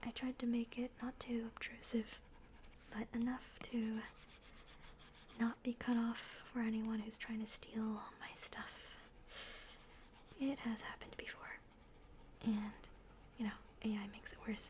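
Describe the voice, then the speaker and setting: Someone whispers at a fairly slow pace with long, frequent pauses, over noticeable background noise. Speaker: digital artist and ASMR creator. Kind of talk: soft-spoken ASMR narration of an art process. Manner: soft-spoken.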